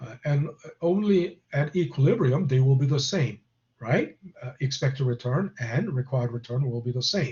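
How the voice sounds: A man speaks with lively intonation. His pitch sits in the medium range. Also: moderate pace, slightly mellow tone.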